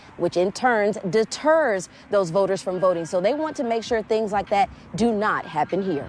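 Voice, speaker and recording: In an ordinary speaking voice of medium pitch, a woman talks with lively intonation at a moderate pace. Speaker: TV news anchor and reporter. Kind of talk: live field reporter, conversational with anchors. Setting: outdoors on location.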